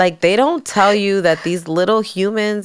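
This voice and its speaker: Speaking with an American accent, a woman uses an ordinary speaking voice at a moderate pace with fairly even intonation. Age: 30s. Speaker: salon owner and entrepreneur. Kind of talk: casual chat.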